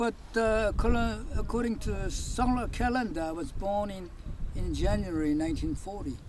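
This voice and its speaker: A man keeps a moderate pace as audible room echo and noticeable background noise fill the space around him. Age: 80s+. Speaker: hiker. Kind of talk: casual chat. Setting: outdoors. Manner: halting.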